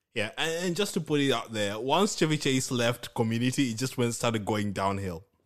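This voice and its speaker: Speaking at a fairly quick pace, a man with a Kenyan accent uses lively intonation. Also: medium pitch for a man, quiet background. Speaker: podcast co-host. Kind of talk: casual chat.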